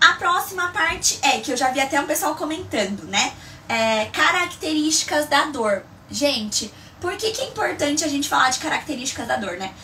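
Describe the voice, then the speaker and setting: Against noticeable background noise, a woman with a high pitch speaks in a raised, projected voice at a moderate pace, animated and with very wide pitch swings. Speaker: migraine educator, live streamer. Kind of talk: live stream tutorial. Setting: live stream.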